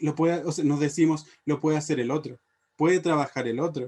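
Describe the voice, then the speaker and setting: A man is speaking. His pace is moderate. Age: 20s. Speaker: English teacher and youth leadership director. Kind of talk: panel presentation. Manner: halting, many filler sounds.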